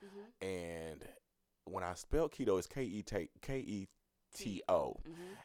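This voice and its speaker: With a Southern US accent, a man speaks in a fairly low pitch and lively intonation, his voice dry and close with no echo. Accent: Southern US (Georgia). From US South, Dawson, Georgia. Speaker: hairstylist and entrepreneur. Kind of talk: casual interview. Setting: studio.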